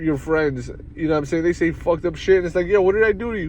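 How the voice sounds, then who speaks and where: Noticeable background noise sits behind a man with a New York accent whose voice is high-pitched for a man. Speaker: sports show host. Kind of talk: casual solo sports talk. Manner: fast, not always clearly enunciated.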